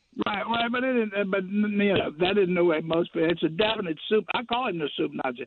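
Over noticeable background noise, a man talks at a fairly quick pace in a high voice with ordinary pitch variation and hardly any pauses. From Louisiana, New Orleans / Baton Rouge. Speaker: caller. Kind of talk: phone-in chat.

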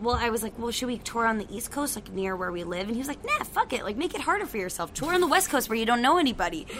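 A woman's high, animated voice at a very fast pace, lively intonation, and noticeable background noise. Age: 20s. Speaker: rock band singer and guitarist. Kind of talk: casual interview chat.

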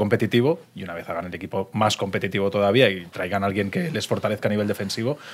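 A man with a fairly low pitch at a very fast pace, on a very clean recording with a silent background. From Valencia region, Spain. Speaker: sports podcast co-host. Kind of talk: casual chat. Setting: restaurant in Madrid.

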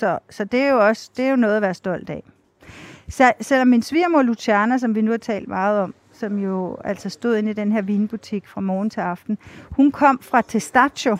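The speaker has an unremarkable speaking voice with ordinary pitch variation. The recording is very clean, with a silent background and a dry, close sound without echo. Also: woman. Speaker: TV foreign correspondent and author. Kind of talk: interview. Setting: outdoors on a city square.

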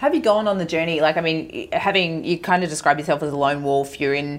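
With an Australian accent, a woman speaks at a very deep, low pitch and with fairly even intonation. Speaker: podcast host. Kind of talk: casual interview chat.

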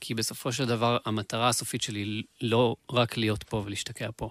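Here a man talks at a medium pitch in a monotone, flat delivery. The sound is dry and close with no echo. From Israel, Beersheba. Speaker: musician and producer. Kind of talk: casual interview chat.

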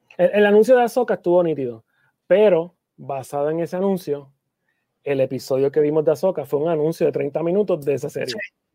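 This is a plain, everyday voice with lively intonation. The pace is fairly quick. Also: man, fairly high pitch for a man. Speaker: comic convention producer, podcast co-host. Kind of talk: casual chat.

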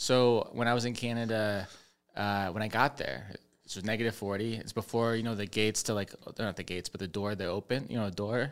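In an unremarkable speaking voice, a man with a fairly low pitch talks at a fairly quick pace with fairly even intonation on a very clean recording with a silent background. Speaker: comedian. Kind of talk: casual chat. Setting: studio.

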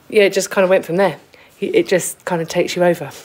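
A woman speaks with noticeable background noise. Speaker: basket maker. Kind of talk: casual interview. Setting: workshop.

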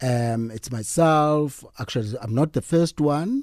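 Over a very clean recording with a silent background, a man with a South African accent speaks fairly slowly in a dark, mellow tone, his pitch varying in an ordinary way. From South Africa, Eastern Cape (East London). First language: Xhosa. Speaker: fashion designer. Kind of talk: radio interview. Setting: radio studio.

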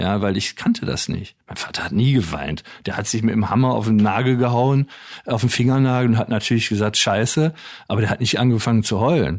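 This man has an ordinary speaking voice. His pitch is medium, with ordinary pitch variation. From Wuppertal, Germany. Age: 60s. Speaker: author and former radio manager. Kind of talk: interview conversation.

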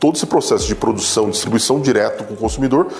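Noticeable background noise is present. Over it, a man speaks very fast. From Brazil, Campinas. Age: 30s. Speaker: entrepreneur. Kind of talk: talk / testimony.

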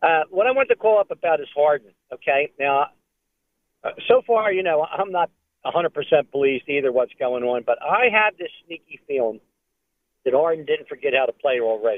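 At a moderate pace, a man speaks in a fairly high voice with very wide pitch swings. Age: 70s. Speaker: caller. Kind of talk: casual chat. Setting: phone call.

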